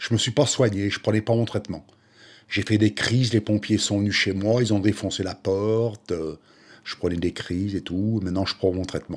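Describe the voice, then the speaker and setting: On a very clean recording with a silent background, a man uses a normal speaking voice, fairly low in pitch, with fairly even intonation at a moderate pace. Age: 60s. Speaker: retired waiter, peer group member. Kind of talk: documentary testimony.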